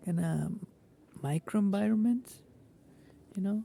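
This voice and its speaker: The tone is relaxed and the pace fairly slow. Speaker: gardening vlogger. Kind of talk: casual vlog. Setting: outdoors in garden. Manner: halting, many fillers.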